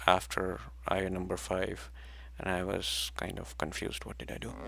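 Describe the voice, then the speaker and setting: A man talks with a very deep, low pitch. Vocal fry runs through his voice. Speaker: religious study teacher. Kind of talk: rehearsal of a study session. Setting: livestream. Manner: soft-spoken.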